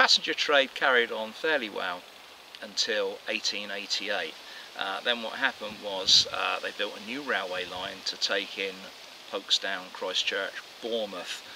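A man speaking fairly slowly amid noticeable background noise. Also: dry sound with no echo. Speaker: presenter. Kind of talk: walking tour commentary. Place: forest.

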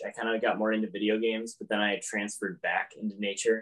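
Speaking at a very fast pace, a man is heard with a quiet background. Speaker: guest. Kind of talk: interview answer. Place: home room. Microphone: video call.

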